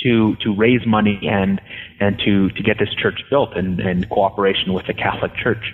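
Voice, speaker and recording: Music plays in the background while a man with an American accent speaks at a moderate pace. His fairly low voice stays monotone and flat. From Southern California, Los Angeles. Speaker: history professor. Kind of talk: interview. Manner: halting, many fillers and repetitions.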